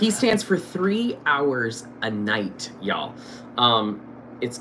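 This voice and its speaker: An animated man with lively intonation, audible room echo and noticeable background noise. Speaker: stage actor and show host. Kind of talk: casual interview chat. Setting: live stream. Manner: loud, projecting.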